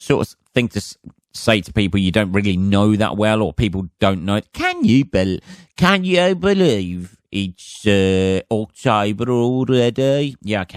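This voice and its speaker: A man with an English accent speaks at a fairly slow pace. His pitch is fairly low. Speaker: comedian and podcast host. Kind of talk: casual solo podcast monologue. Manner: rambling with many fillers.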